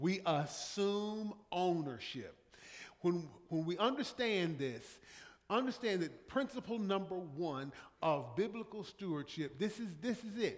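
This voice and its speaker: The man speaks very slowly. His intonation stays lively. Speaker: pastor. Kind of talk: sermon. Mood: warm, anecdotal, emphatic. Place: church. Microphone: podium.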